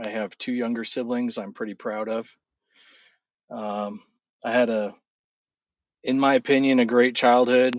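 At a fairly slow pace, a man speaks at medium pitch in a monotone, flat delivery broken by long, frequent pauses. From California. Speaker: guest sharing faith testimony. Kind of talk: casual chat; testimony.

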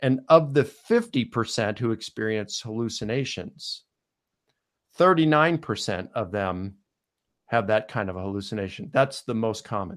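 A man with an American accent speaks very slowly at a medium pitch, his intonation lively. The recording is very clean, with a silent background. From US Mid-Atlantic (Baltimore, Maryland). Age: 50s. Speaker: scholar. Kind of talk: podcast interview.

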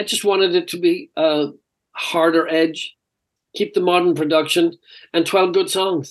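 A man speaks at a high pitch and moderate pace with monotone, flat intonation. Long, frequent pauses break up his speech. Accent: Irish. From Ireland. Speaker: rock singer. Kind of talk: casual interview. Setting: remote call.

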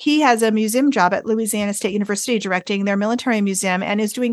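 A woman speaks with an American accent at a fairly high pitch. Her pitch varies in an ordinary way. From US Northeast, rural northern Vermont. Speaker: music professor and tuba player. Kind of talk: interview.

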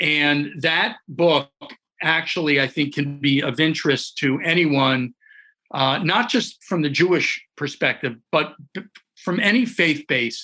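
A man with an American accent talks at a fairly slow pace and a fairly high pitch. His tone is bright and sharp, and his loudness stays very even. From Connecticut, US. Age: 60s. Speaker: rabbi and addictions counselor. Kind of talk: interview conversation. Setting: podcast recording. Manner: halting, many fillers.

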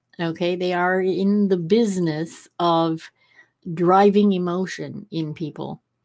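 A woman speaks at a fairly low pitch in a monotone, flat intonation at a fairly slow pace. The recording is very clean, with a silent background. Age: 60s. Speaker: podcast host. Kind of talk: interview conversation.

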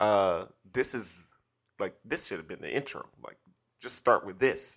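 A very clean recording with a silent background, carrying a man's bright, sharp tone. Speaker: podcast host. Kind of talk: casual chat.

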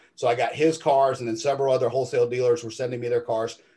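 A somewhat breathy voice with a dark, mellow tone and fairly even intonation speaks at a very fast pace. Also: man. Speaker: detailing business owner. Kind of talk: interview.

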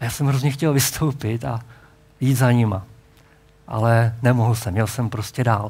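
Amid audible room echo, a somewhat breathy man with a medium pitch keeps a moderate pace, taking long, frequent pauses. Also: ordinary pitch variation. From Czechia, Hradec Králové region. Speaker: pastor. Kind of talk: sermon.

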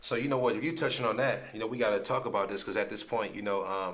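Through audible room echo, a man with an American accent speaks at a very fast pace and medium pitch. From Ohio. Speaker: podcast host, motivational speaker. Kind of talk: casual interview. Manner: energetic.

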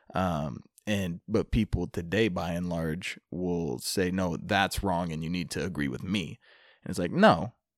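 A man with an American accent speaks at a fairly slow pace in a very deep, low pitch with vocal fry and ordinary pitch variation. The sound is dry and close with no echo, in a very clean recording with a silent background. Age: 20s. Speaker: comic book writer and studio owner. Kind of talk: casual chat.

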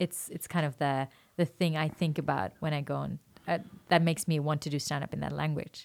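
Her very deep, low voice carries vocal fry as this woman speaks at a fairly quick pace with fairly even intonation. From Norway, Oslo. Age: 20s. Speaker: stand-up comedian. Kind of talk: casual chat.

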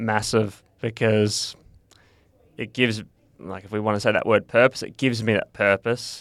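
A monotone, flat voice with an Australian accent, dry and close with no echo, on a very clean recording with a silent background. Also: man. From Western Australia (Perth). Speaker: ultra-endurance cyclist. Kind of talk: interview.

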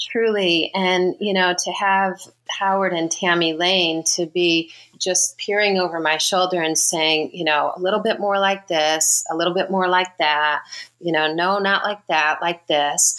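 A woman with an American accent and a plain, everyday voice speaks at a fairly slow pace and a medium pitch, with fairly even intonation and very even loudness. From Southern California, Riverside area. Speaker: makeup and hair designer. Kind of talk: interview.

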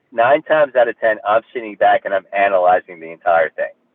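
At a fairly quick pace, a man talks with a New Jersey accent. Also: big swings in loudness. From New Jersey, Hudson County. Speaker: actor. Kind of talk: interview.

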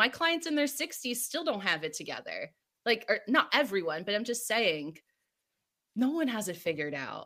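A woman's raised, projected voice in an American accent, bright and sharp in tone, with very wide pitch swings, on a very clean recording with a silent background. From New Jersey. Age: 30s. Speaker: wellness coach. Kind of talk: interview.

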